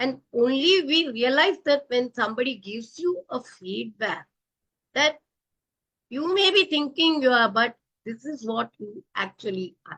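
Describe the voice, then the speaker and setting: Speaking fairly slowly, a woman uses a high pitch that swings very widely. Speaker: professional coach and author. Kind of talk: interview. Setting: live online video show. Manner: loud; animated.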